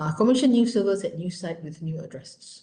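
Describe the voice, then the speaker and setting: Very wide pitch swings mark this somewhat breathy woman's voice, heard with audible room echo. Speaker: lecturer. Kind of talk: lecture.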